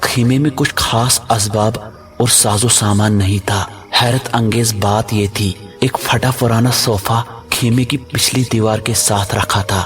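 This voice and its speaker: Over background music, a man holds a medium pitch with fairly even intonation and very even loudness. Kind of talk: horror story narration.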